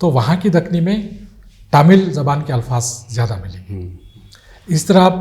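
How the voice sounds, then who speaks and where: A man's fairly high voice, somewhat breathy, swings very widely in pitch. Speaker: retired Urdu professor. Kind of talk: interview answer.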